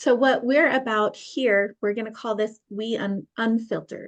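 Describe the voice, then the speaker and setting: This is an ordinary speaking voice. The intonation is fairly even. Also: woman. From Utah (St. George). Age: 30s. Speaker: podcast host. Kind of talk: casual chat.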